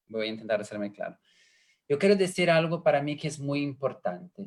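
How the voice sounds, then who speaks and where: Somewhat breathy, a man's voice sits at a fairly high pitch with lively intonation. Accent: Italian. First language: Italian (speaking Spanish). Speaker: education expert. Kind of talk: panel discussion. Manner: halting.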